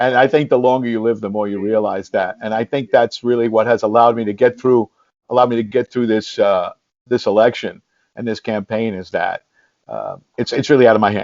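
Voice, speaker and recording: With a New York accent, a man of medium pitch talks at a fairly quick pace in a monotone, flat intonation. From New York City, the Bronx. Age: 60s. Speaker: congressional candidate and former police officer, teacher. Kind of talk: interview. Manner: halting, many repetitions.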